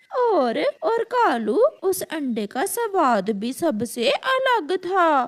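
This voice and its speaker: A woman's cartoonish character voice, extremely high in pitch with very wide pitch swings, at a very slow pace. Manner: eager, chatty.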